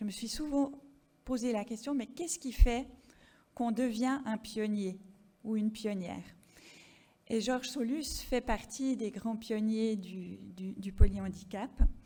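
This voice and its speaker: In a slight Swiss French accent, the speaker goes at a very slow pace with a dark, mellow, somewhat breathy tone, ordinary pitch variation, big swings in loudness, and long, frequent pauses. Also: woman, fairly high pitch for a woman. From French-speaking Switzerland. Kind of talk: conference presentation. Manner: hesitant, many fillers.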